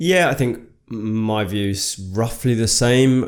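Here a man talks with a Birmingham accent at a medium pitch. His pace is very slow. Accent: Brummie. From Birmingham, England. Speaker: podcast co-host. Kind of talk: casual chat.

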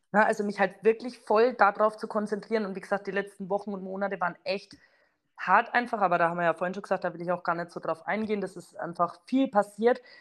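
Against a quiet background, a woman at medium pitch speaks very fast with fairly even intonation and big swings in loudness. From Franconia, near Bamberg. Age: 30s. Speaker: network marketer. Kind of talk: casual interview.

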